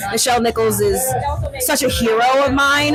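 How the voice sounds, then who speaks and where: The talking goes fairly quickly while music plays underneath. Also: woman. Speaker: actor. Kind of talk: red carpet interview.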